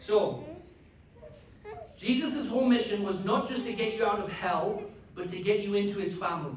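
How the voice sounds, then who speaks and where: Someone with an English accent speaks with long, frequent pauses over noticeable background noise. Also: moderate pace. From England. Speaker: pastor. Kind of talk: teaching talk at a church class.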